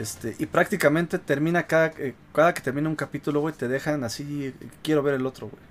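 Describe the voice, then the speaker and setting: A man talks at a fairly quick pace with a fairly high pitch. His intonation stays fairly even. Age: 30s. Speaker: gaming podcast host. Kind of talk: casual chat.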